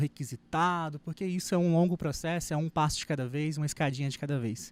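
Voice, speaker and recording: A man speaks at a fairly quick pace with a fairly high pitch and ordinary pitch variation, recorded very cleanly against a silent background with a dry, close sound and no echo. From Brazil, raised in Minas Gerais. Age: 30s. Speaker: wedding photographer. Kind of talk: lecture. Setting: stage with audience.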